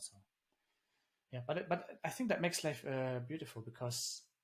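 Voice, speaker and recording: Speaking at a very fast pace, a man with a German accent sounds somewhat breathy. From Germany. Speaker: engineer and founder. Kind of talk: interview conversation.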